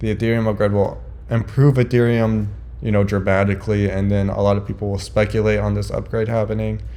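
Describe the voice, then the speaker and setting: A man speaks at a very fast pace. There is audible room echo. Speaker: crypto investing vlogger. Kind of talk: casual market commentary.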